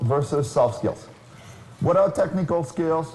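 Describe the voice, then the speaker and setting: At a moderate pace, this voice with a French accent shows ordinary pitch variation against audible room echo. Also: man. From France. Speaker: keynote speaker, career consultant. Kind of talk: conference keynote talk.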